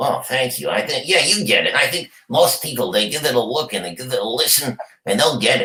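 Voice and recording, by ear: A put-on character voice with a raspy edge moves at a fairly quick pace. Its pitch swings very widely. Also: man, fairly high pitch for a man.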